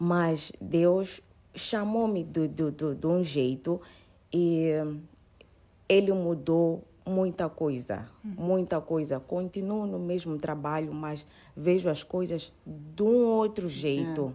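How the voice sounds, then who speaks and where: A woman with a fairly low, dark, mellow voice speaks very slowly in a calm tone with ordinary pitch variation. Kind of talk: personal testimony.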